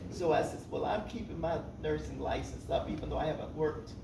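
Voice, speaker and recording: Fairly quick speech from a man, with noticeable background noise and audible room echo. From US South, Birmingham, Alabama. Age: 80s+. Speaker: retired nurse and veteran. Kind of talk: speech at a luncheon.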